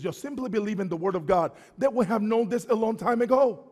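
An animated tone at a fairly quick pace against a quiet background. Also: man. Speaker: preacher. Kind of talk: sermon. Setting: church. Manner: call-and-response. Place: church.

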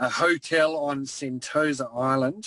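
A man with an Australian accent speaks at a fairly high pitch. The sound is dry and close with no echo. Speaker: former league admin, guest. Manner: monotone when speaking as admin.

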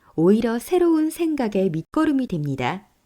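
A woman speaks in a calm tone at a fairly slow pace. Her pitch swings very widely. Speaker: voice actor. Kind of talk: documentary narration.

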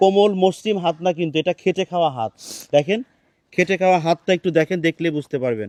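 A man's high voice with ordinary pitch variation, in a dry, close sound with no echo. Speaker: charity vlogger. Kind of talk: charity appeal vlog.

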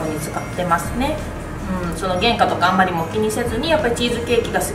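A woman talks fairly quickly over clear background music. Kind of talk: interview answer. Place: cafe. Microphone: camera far.

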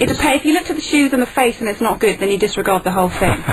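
A woman talks with lively intonation. There is noticeable background noise. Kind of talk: radio guest conversation.

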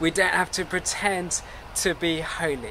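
The pace is fairly slow. Light background noise can be heard. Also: man. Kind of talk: service welcome address. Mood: warm, calm, earnest. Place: garden.

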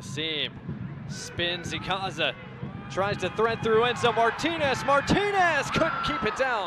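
A man's high-pitched voice with very wide pitch swings and a fairly slow pace, over noticeable background noise. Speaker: soccer play-by-play commentator. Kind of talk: live sports commentary (play-by-play). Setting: stadium broadcast, match commentary.

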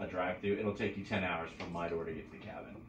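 Fairly quick speech with fairly even intonation, audible room echo and light background noise. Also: man. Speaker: podcast host telling trip story. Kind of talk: casual podcast conversation. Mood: relaxed, joking. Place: home room.

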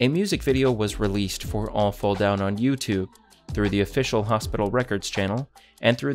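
Over faint music in the background, a man with a fairly low pitch speaks in a calm tone with ordinary pitch variation. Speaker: Minecraft content creator. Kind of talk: Wikipedia article read aloud, bedtime reading. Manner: calm, even.

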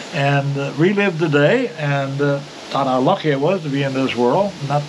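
A man speaks with lively intonation at a fairly high pitch. Noticeable background noise is present. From Newfoundland. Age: 80s+. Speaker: retired outdoor TV host and producer. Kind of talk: casual conversation, storytelling. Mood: reflective, storytelling. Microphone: camera far.

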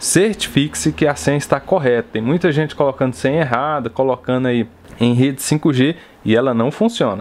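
A man talks in a plain, everyday voice at a medium pitch. His pace is moderate, his intonation lively and his loudness very even. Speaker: tech YouTuber. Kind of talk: product review tutorial.

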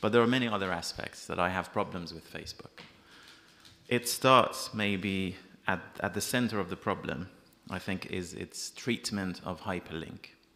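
This speaker has a Persian accent, a moderate pace and ordinary pitch variation. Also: man, fairly low pitch for a man. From Iran. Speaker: freelance journalist. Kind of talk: panel discussion. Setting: stage with audience. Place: hall. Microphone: podium.

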